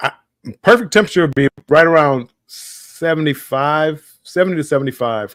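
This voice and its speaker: Speaking with a Southern US accent, a man with a fairly high pitch and ordinary pitch variation talks at a moderate pace in a dry, close sound with no echo. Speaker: live stream host. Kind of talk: casual chat. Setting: live stream. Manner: halting.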